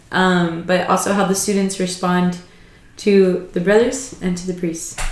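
Monotone, flat intonation with noticeable background noise. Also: woman. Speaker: podcast host. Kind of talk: casual chat.

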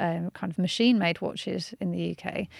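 Someone with a Birmingham accent talks at a moderate pace. The recording is very clean with a silent background, and the sound is dry and close with no echo. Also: woman. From Birmingham, England. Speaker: watchmaker and historian. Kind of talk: interview.

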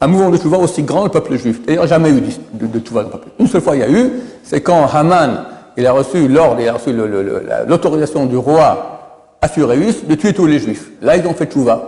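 A man at a moderate pace, his fairly high pitch swinging very widely, with noticeable background noise. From Israel. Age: 60s. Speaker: rabbi. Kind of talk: religious lecture. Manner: repetitive, stammering.

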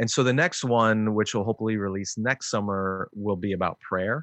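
A man with an American accent talks at a very fast pace and a fairly low pitch. The sound is dry and close with no echo, over a quiet background. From Chicago suburbs, US Midwest. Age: 40s. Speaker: author and minister, podcast co-host. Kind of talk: interview conversation.

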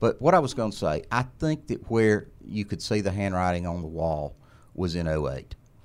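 A man talks with an Alabama accent at a moderate pace. His pitch is very deep and low. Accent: Southern US (Alabama). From Alabama, US South. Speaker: attorney and former legislator. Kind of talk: interview.

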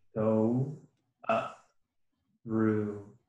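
In a room with audible echo, a man speaks very slowly with fairly even intonation. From US West Coast, Bay Area. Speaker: PhD student and biology lab instructor. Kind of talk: casual chat.

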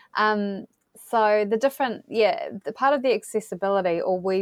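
Over a quiet background, a woman speaks in a New Zealand accent with lively intonation, the sound dry and close with no echo. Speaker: geospatial data platform representative. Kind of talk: interview.

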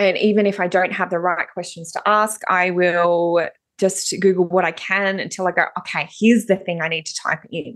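Speaking with an Australian accent, a woman holds a medium pitch and fairly even intonation. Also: moderate pace, hardly any pauses. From Tasmania, Australia. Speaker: personal development coach. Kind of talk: interview.

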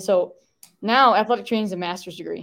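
In a very clean recording with a silent background, a woman with an American accent speaks at a fairly quick pace in an unremarkable speaking voice of medium pitch. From Michigan, US. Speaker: supplement brand product specialist. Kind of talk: casual interview chat.

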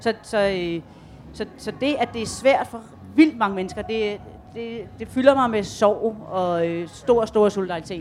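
Very slowly, a woman talks at a fairly high pitch with ordinary pitch variation. Her loudness swings a lot. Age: 50s. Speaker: graphic novelist. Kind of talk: panel discussion. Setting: tent stage with audience.

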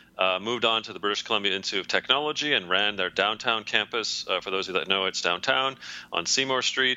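A man with a Canadian accent and a fairly low pitch speaks very fast with ordinary pitch variation. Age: 40s. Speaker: leadership consultant and author. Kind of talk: interview. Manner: hesitant with fillers.

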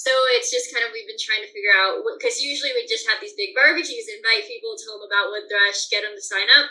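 A high-pitched woman with an American accent, raised and projected, bright and sharp in tone, very fast with hardly any pauses, very wide pitch swings and big swings in loudness. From Colorado mountains. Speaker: bird banding researcher. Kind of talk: interview.

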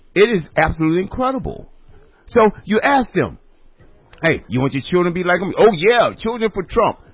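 Lively intonation and a fairly quick pace are broken up by long, frequent pauses. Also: man, high pitch for a man. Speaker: radio host. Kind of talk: casual chat.

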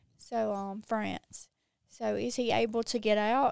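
A woman talks at fairly high pitch in a strong Mississippi accent. The sound is dry and close, with no echo. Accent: strong Southern US (Mississippi). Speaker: social media creator. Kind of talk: casual interview chat.

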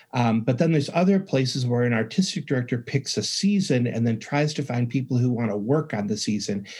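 With lively intonation and a somewhat breathy quality, a man with an American accent speaks fairly quickly at medium pitch. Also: hardly any pauses. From rural upstate New York. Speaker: music education professor and author. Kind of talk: interview.

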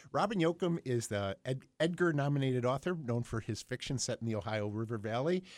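With an American accent and an unremarkable speaking voice, a man of medium pitch talks at a fairly quick pace with lively intonation and hardly any pauses against a quiet background. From Buffalo, New York. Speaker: library radio show host. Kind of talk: casual radio chat and book talk. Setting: radio studio.

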